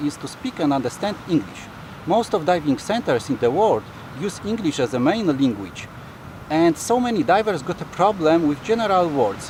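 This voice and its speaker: Over noticeable background noise, a man speaks at a moderate pace in a high pitch with very wide pitch swings. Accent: non-native. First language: not English. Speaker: dive center worker and video host. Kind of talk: casual video intro.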